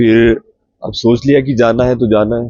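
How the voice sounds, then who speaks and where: The speaker is a man with a medium pitch. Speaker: travel vlogger. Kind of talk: travel vlog. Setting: outdoors at roadside stop.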